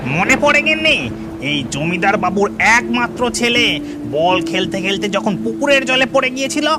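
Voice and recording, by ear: Over loud background noise, a cartoonish character voice speaks at a middle pitch. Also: moderate pace.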